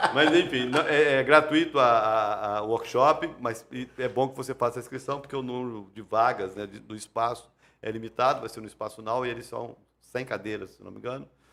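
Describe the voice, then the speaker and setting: Bright and sharp in tone, a man's medium-pitched voice rises and falls widely in loudness. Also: ordinary pitch variation, moderate pace. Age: 50s. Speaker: pastor and podcast host. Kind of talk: casual chat. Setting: live-streamed church podcast.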